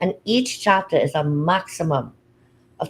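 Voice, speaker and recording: Lively intonation runs through a woman's somewhat breathy voice. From Trinidad and Tobago. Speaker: publisher and anthology founder. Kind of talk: livestream interview. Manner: fast.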